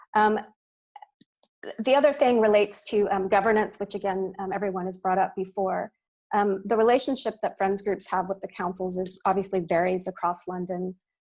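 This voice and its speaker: Fairly quick speech in a Texan accent, with fairly even intonation. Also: woman, medium pitch for a woman. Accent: American (Texas). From US, Austin, Texas. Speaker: parks academic. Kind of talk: panel response at online launch event. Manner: hesitant, many fillers and repetitions.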